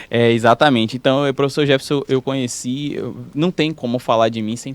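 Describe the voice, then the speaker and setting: A man's medium-pitched voice at a moderate pace, with ordinary pitch variation and hardly any pauses. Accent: slight rural Brazilian. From Brazilian countryside (interior). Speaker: physiotherapist and professor. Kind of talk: podcast interview. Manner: halting, with frequent repetitions.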